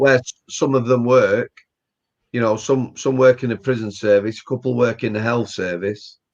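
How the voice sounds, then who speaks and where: The voice carries a Yorkshire accent and fairly even intonation. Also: man, medium pitch for a man, moderate pace. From Yorkshire, England. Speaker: retired prison officer and author. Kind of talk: interview answer.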